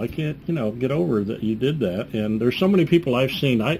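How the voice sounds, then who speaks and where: The man's voice is somewhat breathy, with lively intonation. He speaks at a fairly quick pace. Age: old. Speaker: talk show host and magician. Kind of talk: casual interview. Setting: live web TV studio.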